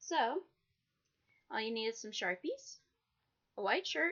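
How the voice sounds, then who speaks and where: Lively intonation from a woman at a moderate pace. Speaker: cosplay DIY youtuber. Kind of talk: tutorial.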